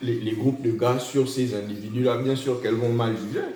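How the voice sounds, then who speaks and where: Over noticeable background noise and audible room echo, a man talks at a moderate pace and medium pitch. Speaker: podcast co-host. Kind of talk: casual chat. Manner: loud; halting.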